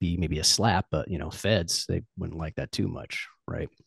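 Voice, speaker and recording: A man with a very deep, low pitch and vocal fry speaks with lively intonation. The sound is dry and close with no echo, and the background is quiet. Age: 40s. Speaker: sales coach and fitness enthusiast. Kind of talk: casual chat.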